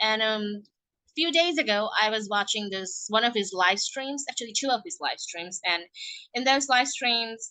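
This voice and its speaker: This woman speaks at a moderate pace with a non-native accent. Her pitch is fairly high and her intonation lively. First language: not English. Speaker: podcast host. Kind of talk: casual monologue. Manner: animated.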